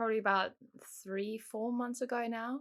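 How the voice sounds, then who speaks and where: In a South African accent, a woman speaks at a moderate pace with fairly even intonation, recorded very cleanly against a silent background. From South Africa, moved to England at ten. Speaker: guest sharing faith testimony. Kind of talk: testimony.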